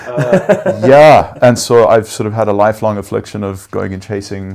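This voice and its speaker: A man with a South African accent at a fairly low pitch, with ordinary pitch variation, a moderate pace and big swings in loudness. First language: Afrikaans. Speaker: venture capital investor. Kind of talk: interview. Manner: hesitant with many fillers.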